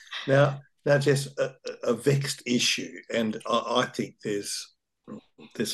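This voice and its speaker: Fairly slow speech from a man with an Australian accent. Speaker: urban planner. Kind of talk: interview.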